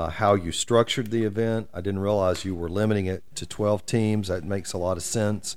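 Very deep and low, this man's voice keeps fairly even intonation. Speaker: community podcast host. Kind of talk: interview. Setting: office.

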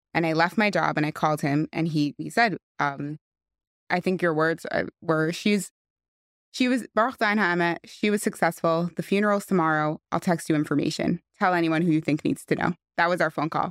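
On a very clean recording with a silent background and dry, close sound with no echo, a woman with a New York accent talks fairly quickly in a fairly low pitch with ordinary pitch variation. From West Hempstead, New York. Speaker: friend of the deceased. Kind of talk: podcast interview.

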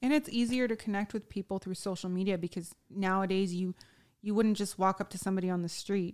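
A woman with a normal speaking voice talks at medium pitch and a fairly quick pace, her intonation fairly even, in a dry, close sound with no echo. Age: 30s. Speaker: podcast guest sharing weight-loss surgery experience. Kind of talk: casual chat.

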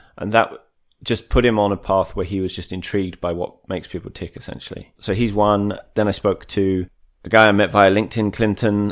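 On a very clean recording with a silent background, a man with a southern English accent speaks at a fairly quick pace and fairly low pitch, his intonation monotone and flat. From Kent, southeast England. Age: 40s. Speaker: author and sports brand marketer. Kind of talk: casual interview chat.

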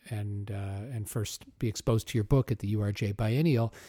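Dry and close with no echo, this very clean recording with a silent background carries a man's somewhat breathy, dark, mellow voice with an American accent. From Omaha, US Midwest. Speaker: podcast host. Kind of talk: interview.

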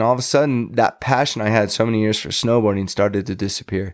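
Over a very clean recording with a silent background, a man of medium pitch talks at a very fast pace with ordinary pitch variation. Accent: American. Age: 40s. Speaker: former pro snowboarder. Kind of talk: casual interview chat. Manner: animated, energetic.

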